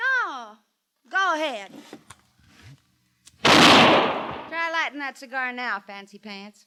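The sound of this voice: A woman puts on a character voice, pitched high with a bright, sharp tone. She speaks at a very slow pace with big pitch swings.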